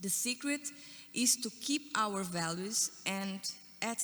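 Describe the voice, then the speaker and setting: A woman with a Portuguese accent, fairly high pitch, ordinary pitch variation, a very slow pace and a bright, sharp tone. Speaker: panelist. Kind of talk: panel talk. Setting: conference stage with audience.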